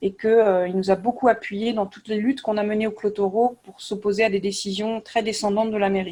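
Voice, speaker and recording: A fairly high-pitched woman talks at a fairly quick pace. Her intonation is monotone and flat. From France, Nantes. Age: 40s. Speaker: youth activity leader and local candidate. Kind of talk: online panel interview.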